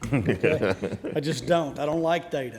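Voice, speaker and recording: In a Southern US accent, a man talks at a moderate pace with a fairly high pitch and ordinary pitch variation. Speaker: conference panel speaker on animal shelters. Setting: stage, speaking to an audience. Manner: casual, joking.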